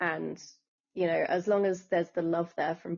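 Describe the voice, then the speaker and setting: Speaking in an English accent, a woman keeps to a moderate pace. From England. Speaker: author and scriptwriter. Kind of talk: interview.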